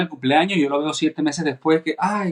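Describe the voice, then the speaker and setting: The man's pitch rises and falls in an ordinary way as he talks. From Venezuela. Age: 40s. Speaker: cellist. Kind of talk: casual chat.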